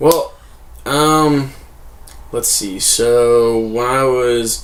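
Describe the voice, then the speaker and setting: A man with an American accent talks at a very slow pace, his voice carrying an audible room echo. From Harrisburg, Pennsylvania, US. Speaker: comedian. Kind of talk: casual chat.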